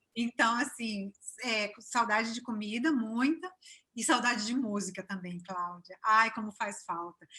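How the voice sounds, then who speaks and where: Bright and sharp in tone, a woman's voice sits fairly high with ordinary pitch variation. She speaks at a fairly slow pace. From Brazil, São Paulo state (Cachoeira Paulista area). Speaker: business owner, expatriate. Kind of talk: interview. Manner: warm, chatty with filler hesitations.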